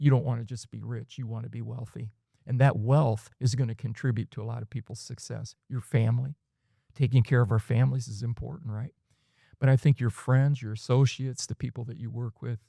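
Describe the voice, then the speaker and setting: The voice is somewhat breathy and dark, mellow in tone, moving at a fairly quick pace with fairly even intonation and big swings in loudness, in a very clean, dry, close recording with a silent background and no echo. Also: man, medium pitch for a man. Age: 60s. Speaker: life and leadership coach. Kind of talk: podcast interview.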